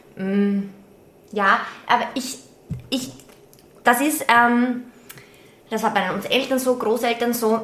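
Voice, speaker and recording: Speaking very slowly with long, frequent pauses, a woman with an Austrian accent uses a high pitch and fairly even intonation, with noticeable background noise and audible room echo. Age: 30s. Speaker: podcast co-host and teacher. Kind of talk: casual chat.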